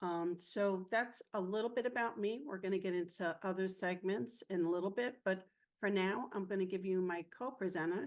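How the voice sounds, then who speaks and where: At a moderate pace and a medium pitch, a woman with an ordinary speaking voice keeps her loudness very even, shows ordinary pitch variation, and hardly pauses at all. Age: 50s. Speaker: mental health peer presenter. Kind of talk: personal testimony.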